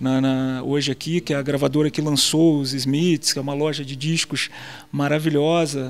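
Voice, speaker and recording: A man speaks at a moderate pace with a fairly high pitch. His intonation is flat and monotone. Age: 40s. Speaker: journalist; interviewee. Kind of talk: interview. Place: hall. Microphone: handheld.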